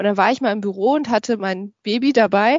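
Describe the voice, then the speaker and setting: A woman's normal speaking voice, fairly high in pitch, with fairly even intonation and a fairly quick pace. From Germany, Düsseldorf. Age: 30s. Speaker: podcaster and corporate training manager. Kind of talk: interview.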